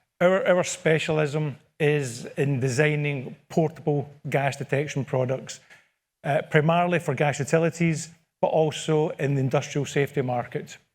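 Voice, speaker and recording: On a very clean recording with a silent background, a man with a Scottish accent speaks at a fairly high pitch and moderate pace with fairly even intonation. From Scotland. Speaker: product manager. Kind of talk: conference presentation. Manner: repetitive false starts.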